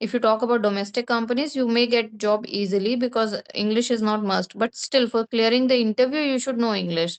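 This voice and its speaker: Speaking with a Bengali accent, a woman uses a fairly high pitch and fairly even intonation, with hardly any pauses. The sound is dry and close, with no echo. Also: fairly quick pace. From India (Bengali-speaking). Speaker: English speaking tutor. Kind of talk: conversation practice interview.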